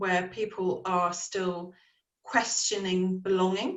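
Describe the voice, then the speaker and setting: In an English accent, a woman speaks at a medium pitch. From England, Dorset. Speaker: panelist. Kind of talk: panel discussion.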